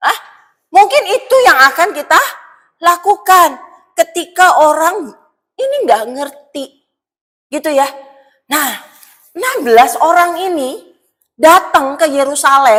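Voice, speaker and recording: In a West Javanese accent, a woman with an extremely high voice talks at a fairly slow pace in an animated tone. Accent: Sundanese. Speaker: pastor. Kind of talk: sermon. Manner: animated, colloquial.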